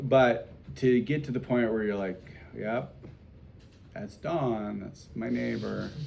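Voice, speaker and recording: Over music in the background and with audible room echo, a man speaks at a very slow pace with lively intonation and big swings in loudness. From South Dakota. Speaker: priest teaching catechism class. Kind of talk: catechism class discussion. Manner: casual, conversational.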